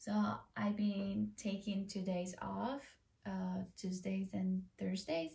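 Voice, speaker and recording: A speaker with an Ecuadorian accent talks at a very slow pace and a very even loudness. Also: woman. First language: Spanish. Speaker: vlogger. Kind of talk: casual vlog talk to camera. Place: home room. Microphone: camera far.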